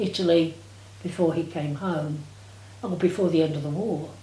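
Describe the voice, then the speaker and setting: This woman's tone is dark and mellow. There is a somewhat breathy quality to it. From England. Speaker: war-time witness. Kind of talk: interview answer.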